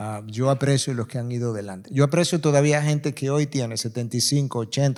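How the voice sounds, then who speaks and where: A man with an unremarkable speaking voice talks at a fairly quick pace, his medium pitch held to a fairly even intonation. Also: very clean recording, silent background. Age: 60s. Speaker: pastor. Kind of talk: panel discussion.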